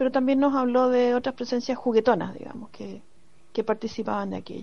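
With a dark, mellow tone and fairly even intonation, a woman speaks at a high pitch over a quiet background. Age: 50s. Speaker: university professor. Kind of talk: recorded personal testimony.

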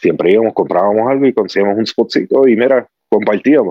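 A man talks at a fairly quick pace. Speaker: cigar enthusiast. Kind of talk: casual chat. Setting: video call.

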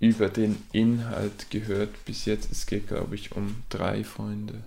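In a Swiss German accent, a man speaks at a very slow pace with a dark, mellow tone, fairly low pitch and monotone, flat intonation. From Switzerland. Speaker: aspiring novelist and podcaster. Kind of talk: casual solo talk about writing and books.

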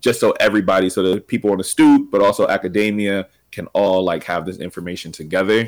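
Music plays in the background as a man with an American accent talks. His pitch is fairly low and his pace fairly quick. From Pennsylvania, Reading. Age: 20s. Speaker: educator and podcaster. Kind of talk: casual interview.

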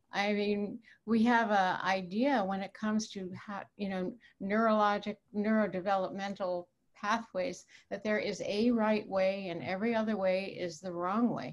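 An unremarkable speaking voice moves at a moderate pace with fairly even intonation. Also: woman, medium pitch for a woman. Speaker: clinical psychologist. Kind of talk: panel discussion.

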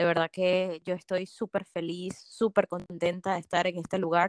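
Here is an unremarkable speaking voice, a woman's at medium pitch, at a fairly quick pace. The sound is dry and close with no echo, on a very clean recording with a silent background. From Venezuela. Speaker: pharmacist and business consultant. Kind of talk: interview.

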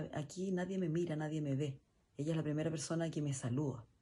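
Here a woman speaks at a fairly low pitch. Her tone is dark, mellow and somewhat breathy. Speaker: guest's mother. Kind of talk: recorded message.

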